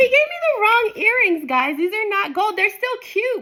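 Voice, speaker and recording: Her voice is raised and projected, with a bright, sharp tone. This woman's pitch swings very widely. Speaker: lifestyle vlogger. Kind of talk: casual unboxing vlog.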